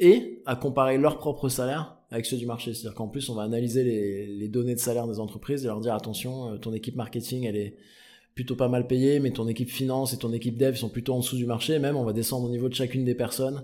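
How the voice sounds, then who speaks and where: This man talks very fast at a medium pitch, with a dark, mellow tone and fairly even intonation. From southern France, Provence/Marseille. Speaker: startup founder and CEO. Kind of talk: casual interview.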